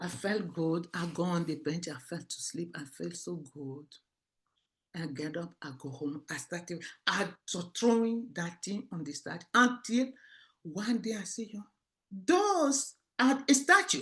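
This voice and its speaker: A woman speaks at a fairly slow pace in a fairly low pitch, her voice swinging very widely in pitch and with big shifts in loudness. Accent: West African francophone. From Togo (Lomé). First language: French. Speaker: author. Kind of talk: interview. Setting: stage interview. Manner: halting.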